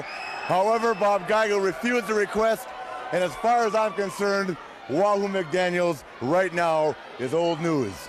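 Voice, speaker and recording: A man's high-pitched voice comes through amid noticeable background noise. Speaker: professional wrestler. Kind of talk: wrestling promo.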